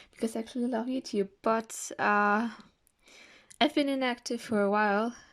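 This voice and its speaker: Long, frequent pauses break up a woman's moderate pace, her pitch fairly high and her intonation fairly even. She speaks with a German accent in a very clean recording with a silent background. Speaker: art YouTuber. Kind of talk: sketchbook tour vlog. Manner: casual, hesitant with fillers.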